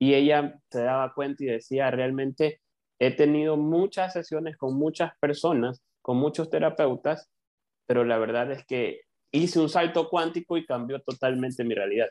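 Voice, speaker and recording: A man with an Ecuadorian accent speaks at a moderate pace with fairly high pitch and fairly even intonation, in a dry, close sound with no echo and a quiet background. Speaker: coach. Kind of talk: interview.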